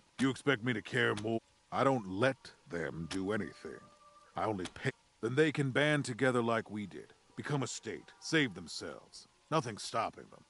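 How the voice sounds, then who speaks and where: In a gruff, put-on character voice, a man of medium pitch speaks at a moderate pace with lively intonation and big swings in loudness. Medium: video game. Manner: gruff, contemptuous.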